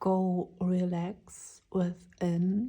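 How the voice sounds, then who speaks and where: The tone is dark and mellow. This woman's voice comes across as somewhat breathy. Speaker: tarot reader. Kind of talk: tarot reading. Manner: slow.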